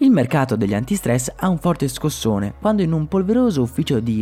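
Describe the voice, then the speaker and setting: A man with a fairly high pitch and a dark, mellow tone sounds somewhat breathy, his pitch swinging very widely, on a very clean recording with a silent background. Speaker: podcast host. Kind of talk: scripted narration.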